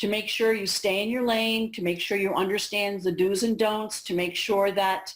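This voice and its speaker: Her pace moderate, a woman talks in an ordinary speaking voice with fairly even intonation. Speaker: school administrators' association director. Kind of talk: training presentation. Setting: video call played in a cafeteria. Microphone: on a hotspot, spotty internet, echoing.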